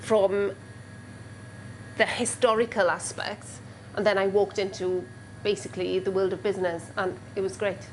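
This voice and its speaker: With a Welsh accent, a woman at medium pitch speaks at a moderate pace with vocal fry, ordinary pitch variation, and long, frequent pauses. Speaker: caterer and former history teacher. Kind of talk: interview testimony. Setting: working kitchen. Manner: hesitant with frequent ums.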